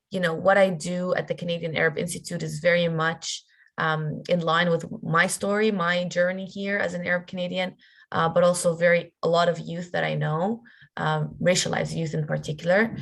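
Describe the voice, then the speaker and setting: A woman speaks in a flat monotone, her fairly low voice somewhat breathy. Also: moderate pace. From Palestine, Jerusalem, moved to Canada at 15. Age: 20s. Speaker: workshop facilitator. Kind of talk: workshop talk. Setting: video call. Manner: halting, many fillers and repeats.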